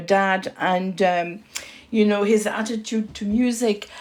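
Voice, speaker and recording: Speaking at a fairly slow pace with a slight French accent, a woman keeps a medium pitch and fairly even intonation on a very clean recording with a silent background. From France. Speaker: podcast host. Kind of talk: interview. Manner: halting.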